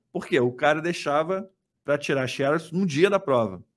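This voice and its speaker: In a very clean recording with a silent background, a man with a Rio de Janeiro accent talks at a fairly high pitch with ordinary pitch variation. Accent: carioca (Rio). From Rio de Janeiro state (Niterói), Brazil. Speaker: economist and investment YouTuber. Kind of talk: casual interview. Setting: studio, livestreamed.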